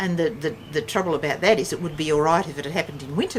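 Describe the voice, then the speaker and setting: Against noticeable background noise, a woman with an Australian accent and fairly low pitch talks at a very fast pace. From Western Australia. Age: 60s. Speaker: family elder recounting history. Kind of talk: casual chat. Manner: halting.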